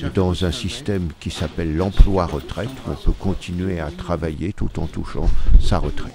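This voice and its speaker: Noticeable background noise sits behind a man's very deep, low voice. He speaks at a moderate pace with ordinary pitch variation. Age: 60s. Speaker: stage actor. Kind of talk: interview. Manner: halting.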